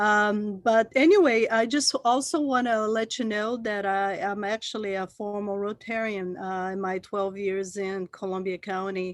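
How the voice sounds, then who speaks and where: Speaking at a fairly slow pace with hardly any pauses, a woman with a Brazilian Portuguese accent uses a medium pitch and ordinary pitch variation. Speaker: port manager. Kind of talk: presentation. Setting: video call. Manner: halting.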